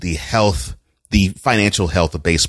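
A man speaks at a moderate pace in an animated tone, his very deep, low voice showing vocal fry, with a dry, close sound, no echo and a silent background on a very clean recording. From Texas, Houston. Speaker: journalist and podcaster. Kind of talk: casual chat.

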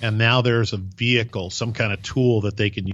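Speaking at a moderate pace, a man keeps a fairly low pitch in a monotone, flat intonation. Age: 50s. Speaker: podcast host. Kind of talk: casual interview chat.

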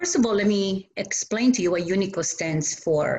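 With an Italian accent, a woman speaks at a fairly slow pace in a somewhat breathy, medium-pitched voice with lively intonation. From Italy. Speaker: community volunteer. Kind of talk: interview. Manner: halting.

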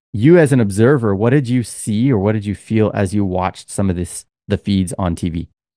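In a dry, close recording with no echo and a quiet background, a man with a fairly low pitch, a dark, mellow tone and ordinary pitch variation talks at a fairly quick pace with hardly any pauses. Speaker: podcast host. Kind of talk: casual chat. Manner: animated.

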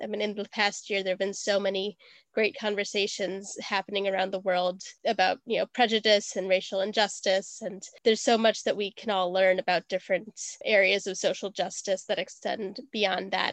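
A woman speaks at a fairly quick pace and medium pitch with monotone, flat intonation, in a dry, close sound with no echo and a quiet background. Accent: American. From US Midwest (Wisconsin). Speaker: podcast producer. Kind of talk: casual chat.

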